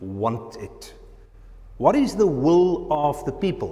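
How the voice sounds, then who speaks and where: A man speaks with pitch that swings very widely from high to low. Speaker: presenter. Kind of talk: lecture. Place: hall. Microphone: camera far.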